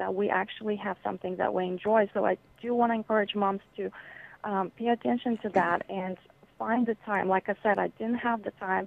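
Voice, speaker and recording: With a Bulgarian accent, a woman talks at a moderate pace, her fairly high pitch carried by fairly even intonation. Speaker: children's author. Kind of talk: interview.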